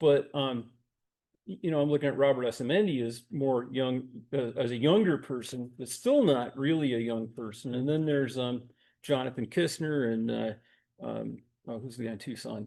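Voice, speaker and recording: A man speaks at a medium pitch with ordinary pitch variation. His pace is moderate and the background is quiet. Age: 60s. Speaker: workshop organizer. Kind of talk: casual chat. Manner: halting.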